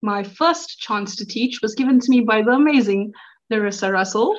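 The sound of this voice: A woman speaks in an excited tone at a fairly high pitch. Her pitch variation is ordinary.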